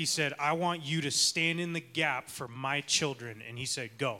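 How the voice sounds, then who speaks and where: With an American accent, a man speaks fairly slowly in a bright, sharp tone at a fairly high pitch, showing ordinary pitch variation. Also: very clean recording, silent background. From Arizona. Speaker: church leader. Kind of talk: sermon.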